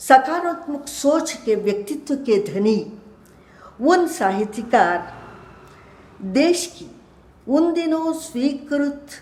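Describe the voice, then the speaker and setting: A woman with a Kannada accent speaks at a high pitch. Her intonation is lively, and audible room echo surrounds her voice. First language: Kannada (speaking Hindi). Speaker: retired professor and translator. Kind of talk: lecture. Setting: web lecture. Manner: formal.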